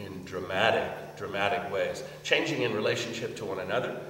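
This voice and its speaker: Noticeable background noise and audible room echo surround this voice. A man speaks at a moderate pace. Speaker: lecturer on interreligious dialogue. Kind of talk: lecture. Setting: meeting hall with audience. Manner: halting, many fillers.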